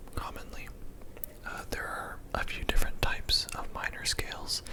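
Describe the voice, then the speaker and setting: A calm whisper comes through over noticeable background noise. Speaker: ASMR music theory teacher. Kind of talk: ASMR instructional lesson. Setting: studio with separate mic for physical sounds. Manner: soft-spoken, calm.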